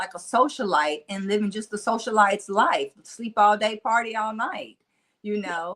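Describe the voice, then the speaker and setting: This woman talks in a Mississippi accent at a fairly slow pace, her pitch fairly high. Her tone is animated, with ordinary pitch variation. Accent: Mississippi country twang. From US South, Nashville, Tennessee. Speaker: motivational speaker. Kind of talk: interview conversation. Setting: podcast.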